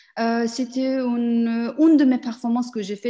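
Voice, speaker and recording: Over a quiet background, a woman speaks very slowly in a somewhat breathy, fairly high voice with a dark, mellow tone. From Afghan family, grew up in Iran and Pakistan. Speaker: performance artist. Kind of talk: interview. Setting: video call. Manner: halting.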